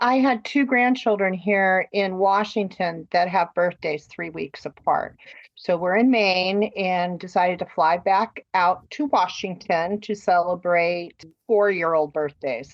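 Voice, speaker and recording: The voice is a normal speaking voice with ordinary pitch variation. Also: woman, medium pitch for a woman, fairly slow pace. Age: 60s. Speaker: cancer survivor. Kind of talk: casual interview, personal story.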